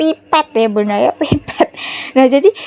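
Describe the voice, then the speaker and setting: A woman with a high pitch and a strong Javanese accent at a moderate pace, a dry, close sound with no echo, noticeable background noise. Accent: strong Javanese accent in Indonesian. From Java, Indonesia. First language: Javanese (speaking Indonesian). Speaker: home cooking vlogger. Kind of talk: casual cooking vlog chat.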